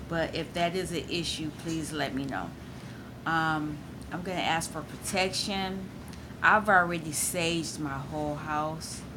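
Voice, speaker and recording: A woman with a very deep, low pitch speaks at a fairly slow pace with fairly even intonation, amid audible room echo and noticeable background noise. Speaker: tarot reader. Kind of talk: tarot reading. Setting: at home. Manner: loud.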